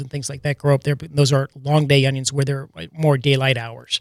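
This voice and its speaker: Dry and close with no echo, a man's voice sits at a fairly high pitch. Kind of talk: casual radio banter. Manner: laid-back, conversational.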